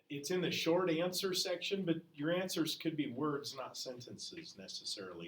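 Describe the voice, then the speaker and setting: A man's pitch is fairly high, with ordinary variation. He keeps a moderate pace. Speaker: history teacher. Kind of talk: classroom lecture. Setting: classroom. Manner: loud.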